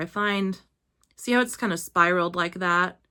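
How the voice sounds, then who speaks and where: On a very clean recording with a silent background, a quiet voice with a bright, sharp tone moves at a fairly quick pace. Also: woman. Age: 30s. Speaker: beauty vlogger. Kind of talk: tutorial.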